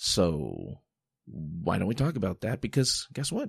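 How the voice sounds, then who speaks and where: Against a quiet background, a man's voice swings very widely in pitch and carries vocal fry. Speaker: podcast host. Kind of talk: solo podcast monologue. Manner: casual, halting with fillers.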